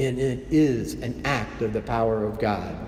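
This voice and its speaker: Noticeable background noise runs beneath a man talking very slowly. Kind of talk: homily delivered at Mass.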